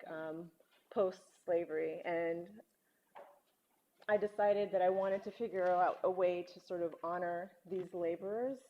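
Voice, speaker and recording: Her pitch medium and her intonation fairly even, a woman speaks at a fairly slow pace. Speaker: visual artist. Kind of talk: artist talk. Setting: lecture hall with audience.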